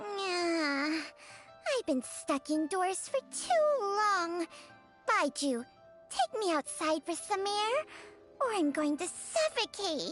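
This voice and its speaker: An extremely high-pitched, put-on character voice speaks at a very slow pace with long, frequent pauses. Clear music plays in the background. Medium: fan dub. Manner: sardonic, scolding.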